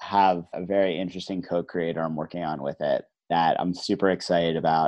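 At a moderate pace, a man with an American accent talks in a normal speaking voice with fairly even intonation. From New Jersey. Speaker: head of marketing, author. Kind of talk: casual interview.

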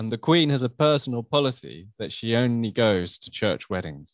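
The speaker has a British accent and talks at a moderate pace with ordinary pitch variation. The background is quiet. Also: man. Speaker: royal commentator podcast host. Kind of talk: casual podcast chat.

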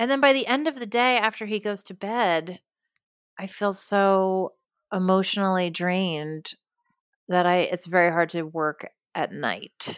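In an American accent, a woman speaks fairly slowly in an ordinary speaking voice of medium pitch with ordinary pitch variation, the sound dry and close with no echo. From New York. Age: 40s. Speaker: comedian and TV writer. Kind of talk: casual interview. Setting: remote call from home.

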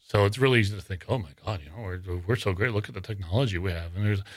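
Very fast speech from a fairly low-pitched man in a very clean recording with a silent background. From northern Wyoming. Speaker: paranormal investigator and writer. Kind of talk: casual interview. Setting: studio.

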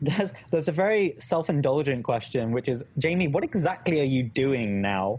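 A man with a British accent, fairly high in pitch, at a moderate pace with lively intonation and very even loudness, over noticeable background noise. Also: hardly any pauses. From UK. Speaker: academic coaching YouTuber, startup worker. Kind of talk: casual chat, live Q&A. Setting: live stream video call.

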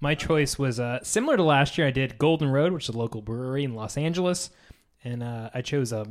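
With an unremarkable speaking voice, a man talks at a fairly quick pace in a fairly high pitch, with ordinary pitch variation. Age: 30s. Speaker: podcast co-host. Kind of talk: casual chat.

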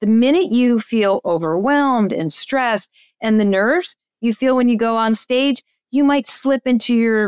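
Speaking at a fairly slow pace, a woman keeps her loudness very even with ordinary pitch variation, in a dry, close sound with no echo. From New Jersey. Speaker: agency owner and speaker. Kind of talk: interview conversation.

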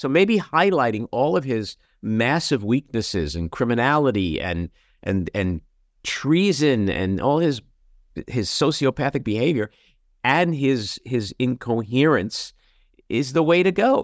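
Dry and close with no echo, the recording has a man with a New York accent speaking at a fairly slow pace, his pitch swinging very widely. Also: medium pitch for a man. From New York City (Queens). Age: 60s. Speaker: podcast host and actor. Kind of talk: casual chat. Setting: video call.

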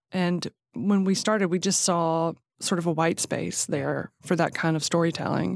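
With a Southern US accent, a woman talks at a moderate pace in a fairly low pitch, her loudness very even and her intonation fairly even, on a very clean recording with a silent background. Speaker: magazine co-founder. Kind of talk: casual interview chat.

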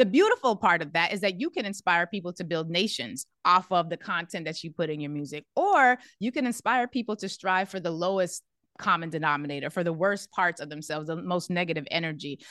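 Against a quiet background, a woman talks at a fairly quick pace in a bright, sharp tone, the sound dry and close with no echo. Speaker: radio host. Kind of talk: interview. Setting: studio.

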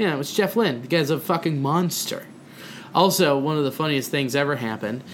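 Here is a man with a normal speaking voice and a fairly high pitch. He goes at a fairly quick pace with ordinary pitch variation. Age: 20s. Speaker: comedian and podcast co-host. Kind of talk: casual chat. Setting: at a kitchen table.

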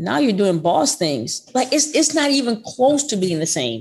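A woman with an American accent and a fairly high pitch speaks at a moderate pace, with vocal fry and very wide pitch swings. The recording is very clean, with a silent background. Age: 50s. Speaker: basketball coach. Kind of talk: interview.

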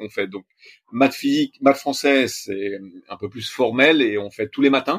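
Using a normal speaking voice, a man talks at a fairly slow pace and medium pitch with ordinary pitch variation. His loudness swings widely, and the sound is dry and close with no echo. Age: 40s. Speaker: sailor, accountant by training. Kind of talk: interview.

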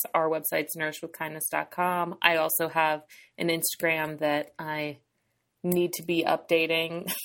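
At a moderate pace, a woman with an American accent speaks in a fairly low pitch and monotone, flat intonation, on a very clean recording with a silent background. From New Hampshire, US. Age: 30s. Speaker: dietitian and eating disorder specialist. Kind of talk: casual interview.

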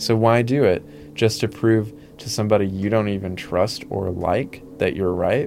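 Music plays in the background. A man talks at a moderate pace with a fairly low pitch and ordinary pitch variation. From Arkansas, Mississippi Delta. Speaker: memoir author. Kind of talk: interview about personal past.

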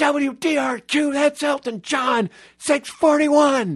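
A man's put-on character voice, shouting at an extremely high pitch, against a quiet background. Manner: screaming, high energy.

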